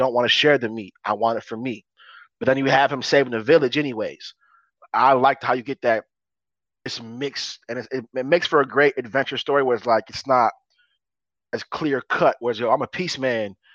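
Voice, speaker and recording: A man speaks in an animated tone at medium pitch. The background is quiet, and the sound is dry and close with no echo. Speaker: podcast co-host. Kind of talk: casual banter podcast. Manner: animated, hype.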